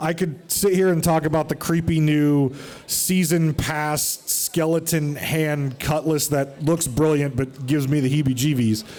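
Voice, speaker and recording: The loudness stays very even while noticeable background noise runs underneath. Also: man, fairly high pitch for a man. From United States. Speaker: podcast host. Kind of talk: live show on stage. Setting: stage with audience. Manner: animated.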